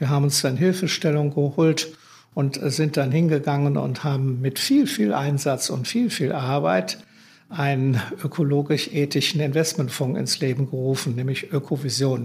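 A somewhat breathy man speaks at a moderate pace, his fairly high pitch varying in an ordinary way. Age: 70s. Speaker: green investment fund founder. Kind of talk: interview.

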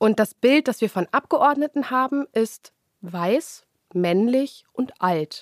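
Very slowly, a woman with a high voice speaks with very wide pitch swings, in a dry, close sound with no echo. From Germany, Lower Saxony (Hildesheim). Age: 20s. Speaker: politician. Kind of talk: interview.

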